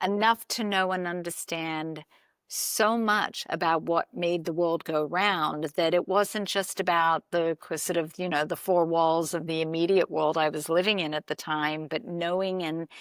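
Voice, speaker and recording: A woman with an Australian accent, fairly low-pitched, at a fairly slow pace with fairly even intonation and hardly any pauses, dry and close with no echo, on a very clean recording against a silent background. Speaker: podcast host. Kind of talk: interview conversation.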